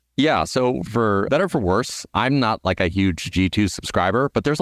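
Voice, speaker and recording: A man with a fairly low pitch speaks at a moderate pace in an American accent. The sound is dry and close with no echo, and the background is quiet. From US, Southern California. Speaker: startup founder and CEO. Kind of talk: interview.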